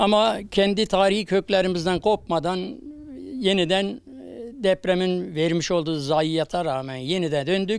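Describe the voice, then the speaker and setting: This man talks at a fairly slow pace in a high voice with ordinary pitch variation. The recording is very clean, with a silent background. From Turkey, Kahramanmaraş. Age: 70s. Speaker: returned emigrant, earthquake survivor. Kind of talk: news interview.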